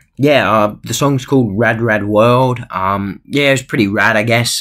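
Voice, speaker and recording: Against a quiet background, a man speaks in a bright, sharp tone. His pitch shows ordinary variation. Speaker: cartoon show reviewer. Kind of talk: casual vlog chat. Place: home room. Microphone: webcam.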